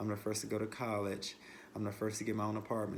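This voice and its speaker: With an American accent, a man speaks in a monotone, flat way, and the room echo is audible. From western North Carolina, Asheville. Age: 20s. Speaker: childcare director. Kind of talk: self-introduction video. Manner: hesitant, many fillers and repetitions.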